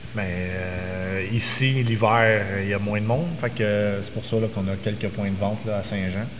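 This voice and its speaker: Speaking very slowly with hardly any pauses, a man uses a fairly low pitch and fairly even intonation, with noticeable background noise and audible room echo. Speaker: brewery co-owner. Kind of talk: casual chat.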